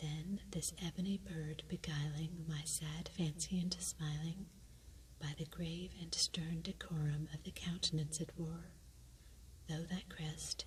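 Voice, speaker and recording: Whispering and soft-spoken, the voice moves at a fairly slow pace. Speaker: ASMR reader. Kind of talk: poetry reading. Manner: soft-spoken, whispered.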